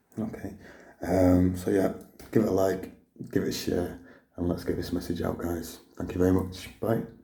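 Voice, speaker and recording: A man speaks with a very deep, low pitch and flat, monotone intonation, sounding somewhat breathy. Audible room echo surrounds his words, broken by long, frequent pauses. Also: moderate pace. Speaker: vlogger sharing cancer journey. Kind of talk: personal video diary. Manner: halting with many fillers.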